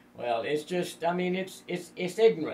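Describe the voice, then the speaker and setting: A man talks at a moderate pace in a high pitch. Noticeable background noise runs underneath. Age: 70s. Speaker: radio talk show co-host. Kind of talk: political talk radio. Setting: radio studio. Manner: halting.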